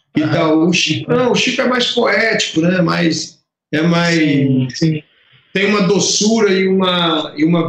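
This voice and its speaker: Speaking fairly slowly, a man uses a high pitch. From Brazil, Piauí and Fortaleza (Ceará). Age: 50s. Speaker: lighting designer. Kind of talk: interview. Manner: halting, many repetitions.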